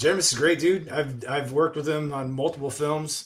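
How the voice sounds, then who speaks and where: A man talks in an ordinary speaking voice. His pitch is fairly high, with fairly even intonation. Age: 50s. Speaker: actor and executive producer. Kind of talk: casual chat.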